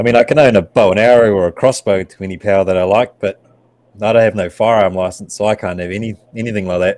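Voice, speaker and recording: Very fast speech in a New Zealand accent with fairly even intonation. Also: man, fairly low pitch for a man. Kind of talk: casual chat. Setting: video call.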